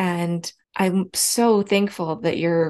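In a quiet background, a woman with a normal speaking voice talks at a fairly low pitch with ordinary pitch variation. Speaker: podcast host. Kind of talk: casual interview.

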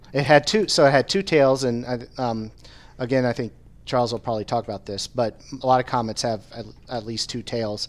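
A man speaks at a fairly quick pace with a medium pitch and ordinary pitch variation. The recording is very clean, with a silent background. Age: 40s. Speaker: atmospheric sciences professor. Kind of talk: casual chat. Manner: halting.

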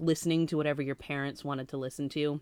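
A woman's very deep, low voice with an American accent, fairly quick in pace and fairly even in intonation, on a very clean recording with a silent background. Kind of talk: casual chat.

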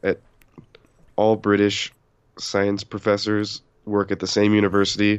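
With monotone, flat intonation, a man speaks at a fairly slow pace and leaves long, frequent pauses. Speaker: podcast co-host. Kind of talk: casual chat.

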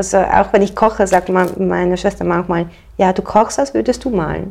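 There is noticeable background noise as a woman with a medium pitch speaks. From Switzerland. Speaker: painter. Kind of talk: casual interview.

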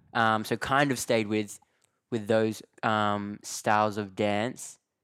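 The man's voice sits at a medium pitch in a very clean recording with a silent background. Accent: Australian. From Australia. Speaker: dancer and actor. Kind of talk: casual interview. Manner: relaxed, laughs often.

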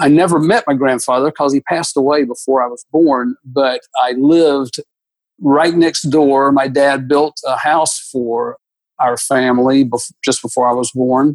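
In an ordinary speaking voice, a man with an American accent talks at a moderate pace with a fairly high pitch and fairly even intonation, the sound dry and close with no echo. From US South, Atlanta, Georgia. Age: 60s. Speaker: architect. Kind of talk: interview.

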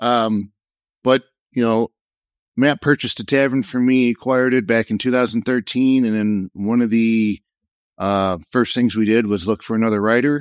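A man with medium pitch speaks in an unremarkable speaking voice at a moderate pace and very even loudness, in a very clean recording with a silent background and a dry, close sound with no echo. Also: fairly even intonation. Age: 40s. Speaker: WordPress marketer and former news site founder. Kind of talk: casual panel discussion.

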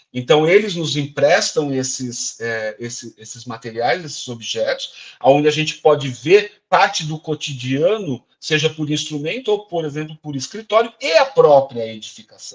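A man with an unremarkable speaking voice talks at a fairly slow pace with hardly any pauses. His pitch is fairly high, his intonation lively, and his loudness swings widely. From interior of São Paulo state, Brazil (Araraquara). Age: 50s. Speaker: cultural heritage official and actor. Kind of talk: interview.

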